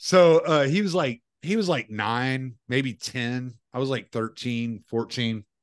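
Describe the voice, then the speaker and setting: A man speaks with a Southern US accent at a very slow pace. He hardly pauses at all. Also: medium pitch for a man, ordinary pitch variation. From US South. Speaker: podcast host. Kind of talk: casual chat.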